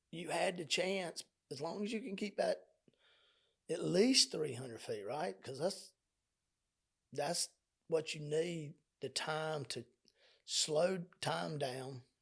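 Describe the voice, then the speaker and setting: A man's voice sits fairly high and carries vocal fry. He speaks at a fairly slow pace. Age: 60s. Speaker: spiritual podcast host. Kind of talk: spiritual teaching monologue. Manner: halting; talkative.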